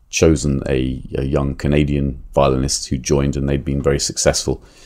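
Speaking with an English accent, a man has a very deep, low pitch and a dark, mellow tone. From England. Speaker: violinist and author. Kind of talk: interview. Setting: publisher's office.

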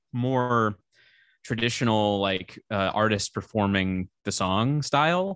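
In a very clean recording with a silent background, a man with a medium pitch is heard dry and close, with no echo. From US Midwest (St. Louis, Missouri). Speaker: musician and filmmaker. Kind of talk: casual interview chat. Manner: hesitant, many fillers.

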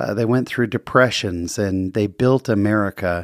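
Recorded very clean with a silent background and a dry, close sound with no echo, a man uses a plain, everyday voice at a moderate pace with ordinary pitch variation. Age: 40s. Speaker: podcast host. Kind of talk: casual interview and solo monologue. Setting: studio.

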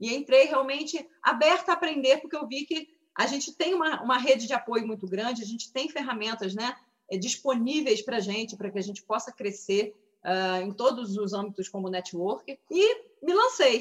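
Lively intonation and a high pitch carry a woman's speech at a moderate pace. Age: 30s. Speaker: dentist and direct sales seller. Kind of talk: testimony. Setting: video call.

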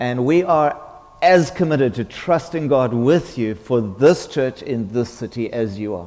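Against noticeable background noise, a man with a medium pitch talks at a very slow pace with lively intonation. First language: English (speaking French). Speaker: visiting preacher. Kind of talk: sermon. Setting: church.

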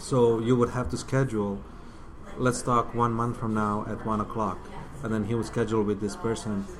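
In a Bosnian accent, a man speaks at a moderate pace with a medium-pitched voice and ordinary pitch variation. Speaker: filmmaker. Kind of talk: casual interview. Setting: coffee shop.

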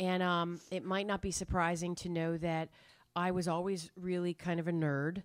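A fairly low-pitched woman's voice with an American accent, monotone and flat at a moderate pace, on a very clean recording with a silent background. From New Hampshire, US. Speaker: storyteller. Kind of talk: live storytelling. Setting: stage with audience.

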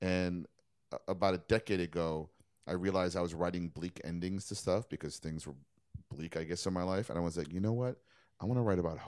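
A man with a very deep, low voice and an American accent speaks at a fairly quick pace with fairly even intonation, in a very clean recording over a silent background. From New York City. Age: 50s. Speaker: cartoonist and playwright. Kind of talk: casual chat.

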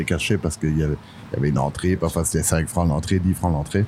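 Noticeable background noise sits behind a man's voice. He speaks very deep and low, with ordinary pitch variation. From Belgium. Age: 60s. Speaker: singer-songwriter. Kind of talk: casual chat. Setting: bistro terrace. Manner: halting.

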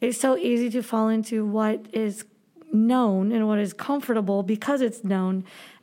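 In an American accent, a woman talks at a moderate pace with very even loudness in a plain, everyday voice. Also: fairly high pitch for a woman, fairly even intonation. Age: 30s. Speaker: Spanish teacher. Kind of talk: casual chat.

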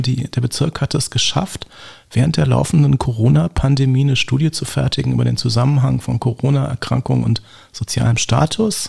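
A man with a medium-pitched voice talks at a moderate pace with lively intonation. There is noticeable background noise. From Berlin (Lichterfelde/Lankwitz). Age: 50s. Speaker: gerontologist. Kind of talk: interview.

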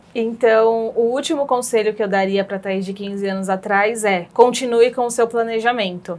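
A woman's fairly high, fairly even voice at a moderate pace with hardly any pauses, on a very clean recording with a silent background. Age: 30s. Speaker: pension specialist in finance. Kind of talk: interview. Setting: studio. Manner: halting.

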